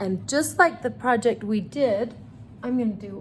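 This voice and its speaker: A woman speaks in an animated tone with vocal fry, ordinary pitch variation and a fairly slow pace. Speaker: art teacher for children. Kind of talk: tutorial.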